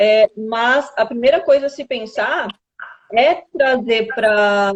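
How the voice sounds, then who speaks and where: Very slowly, a woman speaks in a fairly high voice. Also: ordinary pitch variation. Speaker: nutritionist. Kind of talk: live stream interview, explaining nutrition. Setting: online live stream. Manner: animated.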